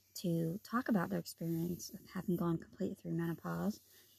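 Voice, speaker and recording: In a dry, close sound with no echo, a woman speaks with a fairly low pitch, a dark, mellow tone and a somewhat breathy quality. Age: 50s. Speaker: podcast host. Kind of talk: solo health podcast monologue.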